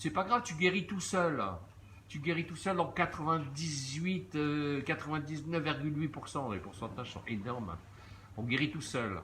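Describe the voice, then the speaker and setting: Here a man talks at a fairly slow pace and fairly high pitch. His intonation is lively, and his loudness swings widely. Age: 60s. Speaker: social media commentator. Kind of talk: live stream monologue. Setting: outdoors at a beach. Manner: hesitant, many fillers.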